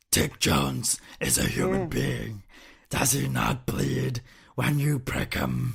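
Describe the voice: A man puts on a raspy character voice at a very deep, low pitch. He talks at a fairly slow pace.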